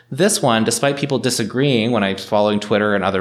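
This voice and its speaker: An unremarkable speaking voice from a man with a Canadian accent, medium pitch and ordinary pitch variation. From Northern Ontario, Canada. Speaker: lawyer and municipal councillor. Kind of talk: interview.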